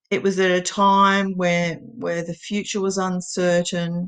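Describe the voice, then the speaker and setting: A woman speaks very slowly with an Australian accent. Her pitch sits fairly low. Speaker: poet. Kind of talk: casual introduction to camera.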